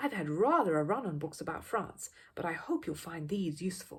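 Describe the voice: A woman's put-on character voice, fairly low and husky with a rough edge, at a moderate pace with big pitch swings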